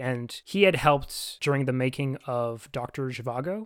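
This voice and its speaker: The recording is very clean, with a silent background. A man speaks at a fairly high pitch with ordinary pitch variation. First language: French (bilingual). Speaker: podcast co-host. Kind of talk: casual chat.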